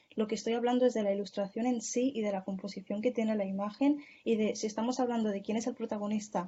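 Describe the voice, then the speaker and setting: Her voice fairly high and somewhat breathy, a woman speaks with fairly even intonation. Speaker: speaker in an online journalism course. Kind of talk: Q&A discussion in an online course. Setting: video call. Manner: fast.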